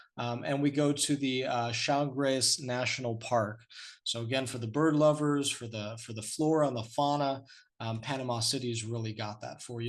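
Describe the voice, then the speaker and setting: Over a quiet background, a man with a plain, everyday voice speaks at a medium pitch and moderate pace with fairly even intonation. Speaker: cruise line sales representative. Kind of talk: webinar sales presentation. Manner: many fillers, um and uh.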